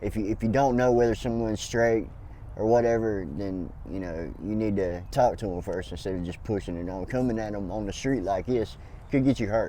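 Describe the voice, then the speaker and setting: A man with a Southern US accent speaks at a fairly quick pace in a dark, mellow tone, with audible room echo. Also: ordinary pitch variation. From US South, North Carolina. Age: 40s. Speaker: homeless man. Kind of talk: street interview.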